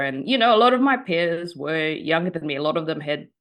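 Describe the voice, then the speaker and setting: Lively in intonation, a woman speaks at a very deep, low pitch with a New Zealand accent. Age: 30s. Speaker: journalist and writer. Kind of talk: interview. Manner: hesitant, many fillers.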